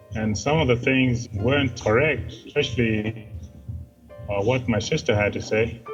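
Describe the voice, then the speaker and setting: A man with a medium-pitched voice talks over music playing in the background. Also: ordinary pitch variation, moderate pace. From Kenya. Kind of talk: interview answer.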